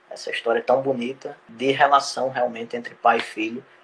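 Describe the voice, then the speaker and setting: There is noticeable background noise. A male voice moves at a moderate pace. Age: 20s. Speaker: journalist and author. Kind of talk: interview. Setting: live stream.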